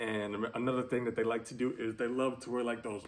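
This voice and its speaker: A man's voice with an animated tone. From New York. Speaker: YouTuber. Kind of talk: casual vlog monologue. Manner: halting, many fillers; casual, animated.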